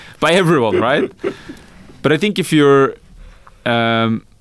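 A Norwegian accent at a moderate pace. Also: man. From rural Norway. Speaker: venture capital founder. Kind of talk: interview.

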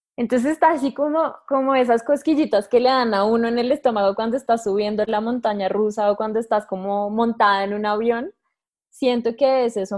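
Against a quiet background, an unremarkable speaking voice moves at a moderate pace with fairly even intonation. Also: woman. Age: 20s. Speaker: astrologer. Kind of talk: casual interview.

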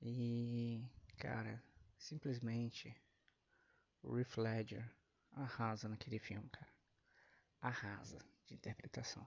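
A man speaks very slowly at a medium pitch, somewhat breathy and with fairly even intonation. He leaves long, frequent pauses. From Brazil. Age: 30s. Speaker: podcast host. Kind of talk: casual monologue.

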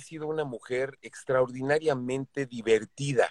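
In a Mexican accent, a man at medium pitch speaks at a fairly slow pace, with a dry, close sound and no echo. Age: 60s. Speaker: voice actor. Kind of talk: casual interview.

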